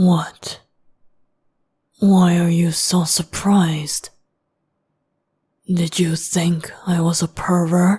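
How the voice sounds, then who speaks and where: In a put-on character voice at middle pitch, the speaker goes very slowly with a flat, monotone intonation and long, frequent pauses. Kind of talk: boyfriend ASMR roleplay. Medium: solo performance. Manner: calm, measured and formal.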